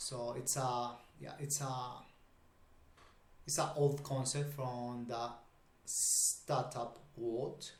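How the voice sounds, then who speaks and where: A man with a Spanish accent speaks at a very slow pace with long, frequent pauses, a somewhat breathy medium pitch and monotone, flat intonation, amid audible room echo. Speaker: YouTuber discussing startups. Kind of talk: casual video commentary. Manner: halting, many fillers.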